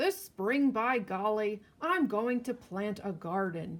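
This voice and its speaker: Putting on a character voice, a woman speaks with a fairly high pitch and lively intonation at a fairly slow pace. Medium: read story. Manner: blustery, huffing.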